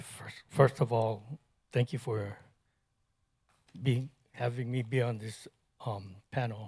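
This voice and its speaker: The speech is very slow and somewhat breathy, with long, frequent pauses and big swings in loudness. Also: man, medium pitch for a man, fairly even intonation. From Hawaii, Kauai sugar plantation. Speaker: agricultural educator. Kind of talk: panel discussion.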